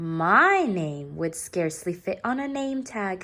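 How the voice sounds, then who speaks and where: In a put-on character voice, the speaker is soft-spoken and gentle, with a warm tone, a fairly slow pace and very wide pitch swings. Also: woman, medium pitch for a woman. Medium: read story. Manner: gentle, warm.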